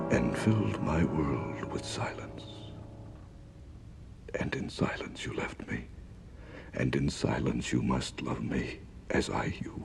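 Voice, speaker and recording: A man whispers at a very slow pace with long, frequent pauses. Noticeable background noise sits behind him. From Canada. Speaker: radio announcer. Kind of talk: romantic spoken-word recording.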